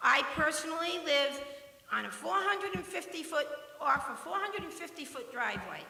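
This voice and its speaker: A woman projects her voice loudly, her pitch swinging very widely. The room echo is audible, and there is noticeable background noise. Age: 60s. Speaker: retired resident speaking at public comment. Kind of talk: public comment at town meeting. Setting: town planning commission meeting.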